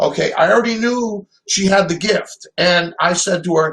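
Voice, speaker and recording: High man's voice at a fairly slow pace with ordinary pitch variation. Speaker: call-in guest. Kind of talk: casual storytelling on a call-in show. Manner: rambling, hesitant.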